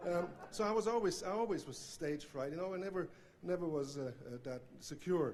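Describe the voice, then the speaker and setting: Noticeable background noise sits under a man with a Swiss accent who speaks high-pitched, at a fairly quick pace, with lively intonation. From Switzerland. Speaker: banjo player, hall of fame inductee. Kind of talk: acceptance speech. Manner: halting, many fillers.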